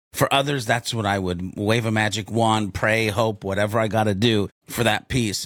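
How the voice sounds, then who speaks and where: Animated in tone, a man with a fairly low pitch talks at a moderate pace with hardly any pauses. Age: 50s. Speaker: podcast co-host. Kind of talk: casual chat.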